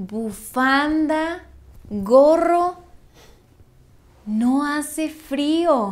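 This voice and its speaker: A woman with lively intonation. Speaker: actress in language lesson skit. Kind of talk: scripted slow conversation for learners. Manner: slow. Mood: playful, expressive, surprised. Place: home room.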